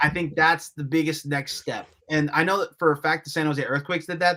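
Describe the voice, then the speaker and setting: Bright and sharp, a man's animated voice races along at a very fast pace. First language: Spanish (bilingual). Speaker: soccer journalist. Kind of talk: casual podcast chat.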